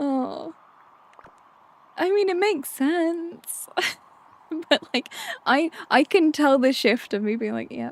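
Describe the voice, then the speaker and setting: At a very slow pace and with long, frequent pauses, a woman talks at a high pitch with lively intonation over noticeable background noise. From London, England. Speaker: video game streamer. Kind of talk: casual gameplay chat. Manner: rambling, halting with self-corrections.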